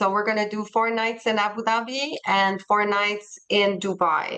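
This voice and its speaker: A woman with a French accent, medium pitch and a fairly slow pace. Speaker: travel company representative. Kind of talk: webinar presentation. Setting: video call. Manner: halting, searching for words.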